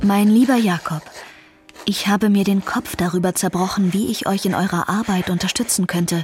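A woman's intonation stays fairly even while noticeable background noise plays. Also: medium pitch for a woman, moderate pace. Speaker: young amateur sleuth in audio drama. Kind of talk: scripted audio drama.

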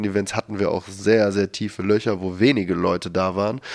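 The words come out very fast. Nothing much is heard behind them. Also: man. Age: 30s. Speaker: founder of a discussion initiative. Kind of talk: interview.

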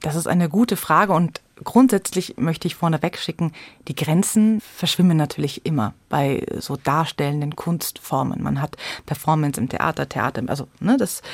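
A woman's very deep, low voice at a moderate pace, with lively intonation. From Munich, Bavaria. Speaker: storyteller and theatre educator. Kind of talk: radio interview.

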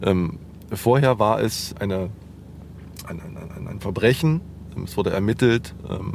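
A man talks with ordinary pitch variation while noticeable background noise plays behind him. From Jena, Thuringia, eastern Germany. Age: 40s. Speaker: journalist. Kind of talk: interview. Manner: hesitant, with fillers.

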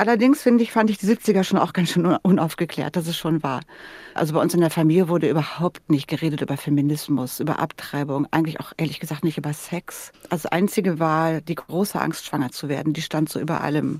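A woman with a plain, everyday voice speaks at a fairly quick pace, her fairly low pitch moving with ordinary variation. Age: 60s. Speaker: podcast host. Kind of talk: radio interview.

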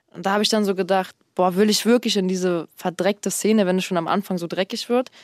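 The speech comes at a very fast pace with fairly even intonation. The recording is very clean with a silent background, and the sound is dry and close with no echo. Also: woman. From Berlin, Germany. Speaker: rapper. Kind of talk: casual interview chat.

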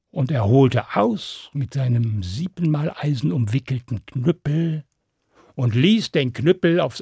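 Somewhat breathy and fairly slow, a man speaks with lively intonation in a dry, close recording with no echo, very clean and with a silent background. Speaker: storyteller. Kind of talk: fairy tale narration for children, told aloud. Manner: animated, storytelling with character voices and suspense; direct, addressing listeners warmly.

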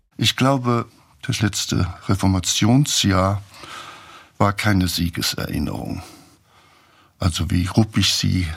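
This man's pitch is very deep and low, with ordinary variation. He speaks at a very slow pace. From Saarland, Germany. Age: 80s+. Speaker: theologian and author. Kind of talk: interview.

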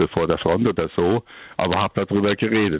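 This man talks at a fairly quick pace with a very deep, low pitch and fairly even intonation. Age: 70s. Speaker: caller, grandfather who keeps sheep. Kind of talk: phone-in call. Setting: phone call.

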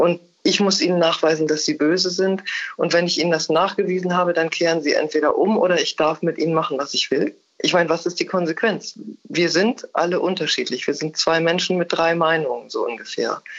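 A woman with a plain, everyday voice speaks at a fairly low pitch with ordinary pitch variation. Her loudness stays very even, and her pace is fairly quick. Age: 60s. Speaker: theologian and writer. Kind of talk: interview. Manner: formal.

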